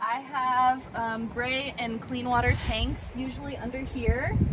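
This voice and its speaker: A woman's fairly slow speech comes through loud background noise. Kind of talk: casual vlog chat. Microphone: camera far.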